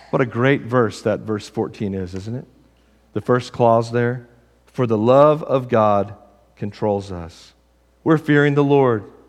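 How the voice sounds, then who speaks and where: With a Texas accent, a man talks at a fairly slow pace against a quiet background. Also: medium pitch for a man, ordinary pitch variation. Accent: Southern US (Texas). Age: 40s. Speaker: pastor. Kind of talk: sermon. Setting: church.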